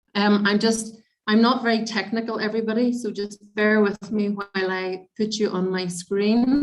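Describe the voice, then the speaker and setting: In a Northern Irish accent, the speaker talks at a moderate pace with monotone, flat intonation. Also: woman, fairly high pitch for a woman. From Northern Ireland. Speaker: midwife. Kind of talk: lecture.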